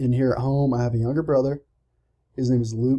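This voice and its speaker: With a Southern US accent, a man talks fairly quickly in a dark, mellow tone and a monotone, flat intonation. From US South, Georgia. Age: 20s. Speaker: college student. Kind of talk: self-introduction speech. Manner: casual, slightly halting.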